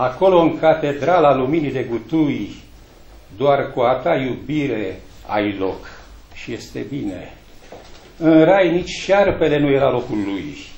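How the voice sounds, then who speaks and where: With audible room echo, a man speaks at a very slow pace in a fairly high pitch, with lively intonation and long, frequent pauses. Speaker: poet reading at a book launch. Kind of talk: poetry reading at a book launch, with a brief polite greeting first. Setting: library event with audience. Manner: formal, measured, declamatory. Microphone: camera far.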